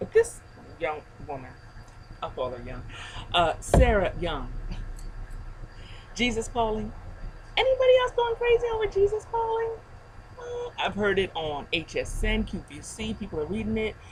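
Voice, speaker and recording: A woman speaking at a moderate pace, with long, frequent pauses and noticeable background noise. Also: big swings in loudness. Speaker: faith video blogger. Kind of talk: casual video blog. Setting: outdoors on a deck. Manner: soft-spoken.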